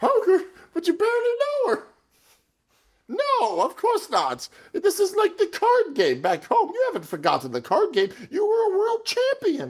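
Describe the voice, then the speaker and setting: A put-on character voice at an extremely high pitch proceeds at a moderate pace. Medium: audio drama. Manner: eager, plotting, stammering.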